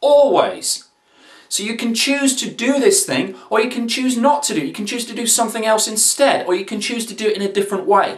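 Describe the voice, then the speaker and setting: Pitched extremely high, a man speaks at a fairly quick pace with lively intonation. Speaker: online video host, motivational speaker. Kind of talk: casual motivational talk to camera. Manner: very fast; animated, energetic.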